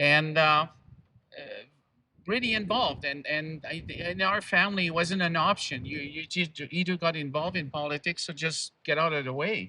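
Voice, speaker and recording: In a French Canadian accent, the voice has a bright, sharp tone, a moderate pace and ordinary pitch variation. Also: man, high pitch for a man. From Quebec. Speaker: activist speaker. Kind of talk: public speech.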